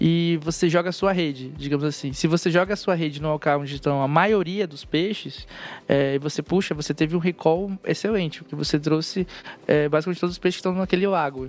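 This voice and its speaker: Fairly even in intonation, a man speaks at a fairly quick pace with a fairly high pitch. It is an unremarkable speaking voice. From northern Brazil. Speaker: software developer on a search team. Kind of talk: casual technical panel chat.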